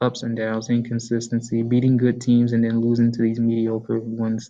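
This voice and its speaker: The voice is quiet, with monotone, flat intonation. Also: man, medium pitch for a man, moderate pace. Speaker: sports YouTuber. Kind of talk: casual sports commentary. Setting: library. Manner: quiet, low volume.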